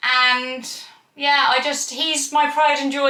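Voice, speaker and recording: In a Cornish accent, a woman speaks at a fairly slow pace. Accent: Cornish twang. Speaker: equestrian vlogger. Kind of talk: casual vlog talk to camera.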